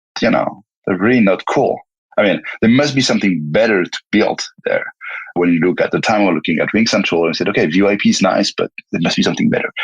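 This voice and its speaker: With a French accent, a man speaks at a very fast pace in a dry, close sound with no echo. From France. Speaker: tech company founder and CEO. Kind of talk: interview. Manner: halting, many repetitions and fillers.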